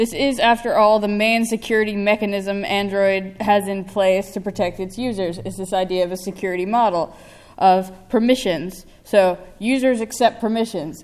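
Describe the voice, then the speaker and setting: Using an American accent, a woman speaks at a moderate pace with hardly any pauses. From United States. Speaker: security researcher. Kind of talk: conference talk. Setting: stage with audience. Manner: animated. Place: hall. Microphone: podium.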